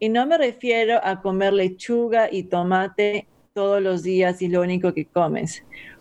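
A woman speaks in a normal speaking voice at a medium pitch. Her pace is fairly slow, with ordinary pitch variation. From Peru. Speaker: health coach and kickboxing trainer. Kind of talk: podcast interview.

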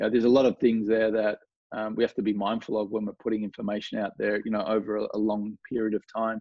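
With a strong Australian accent, a man talks at a very fast pace in a fairly low pitch with monotone, flat intonation. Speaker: golf coach. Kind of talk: casual interview chat. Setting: video call from home studio.

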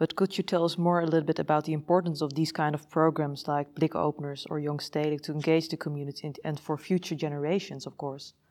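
A woman's very fast, nearly pause-free speech in a Dutch accent, very deep and low-pitched, with flat, monotone intonation. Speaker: podcast host. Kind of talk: interview; scripted introduction. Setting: museum.

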